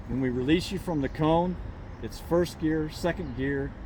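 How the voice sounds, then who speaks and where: A man with a fairly high voice talks at a moderate pace with ordinary pitch variation, and the room echo is audible. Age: 70s. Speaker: motorcycle riding instructor. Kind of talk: outdoor riding instruction; casual chat.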